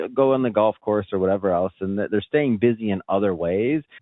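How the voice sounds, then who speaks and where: A plain, everyday voice from a man, fairly low in pitch, at a fairly quick pace. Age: young. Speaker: podcast host. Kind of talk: interview. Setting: remote call.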